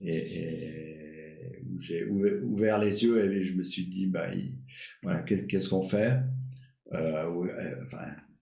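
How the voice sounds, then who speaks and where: Over music in the background, a man with a very deep, low voice talks at a very slow pace, with audible room echo. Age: 60s. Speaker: retired doctor and climate activist. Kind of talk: casual interview. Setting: live stream podcast. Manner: halting, many fillers and repetitions.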